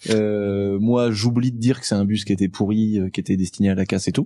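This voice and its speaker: A man speaks at a moderate pace in a dark, mellow tone with a fairly low pitch. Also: quiet background. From rural France. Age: 20s. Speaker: automotive YouTuber; podcast guest. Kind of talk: casual chat; casual conversation, anecdote telling. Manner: animated. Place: studio. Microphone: studio mic.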